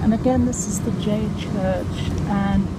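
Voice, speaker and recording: Someone speaks at a fairly slow pace. Loud noise fills the background. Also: woman. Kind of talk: casual vlog narration. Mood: cheerful, relaxed. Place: train. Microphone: phone near.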